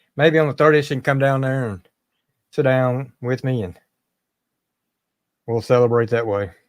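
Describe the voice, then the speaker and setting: On a very clean recording with a silent background, a man talks at a moderate pace with long, frequent pauses, a medium pitch and ordinary pitch variation. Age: 50s. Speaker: live streamer. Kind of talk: casual chat.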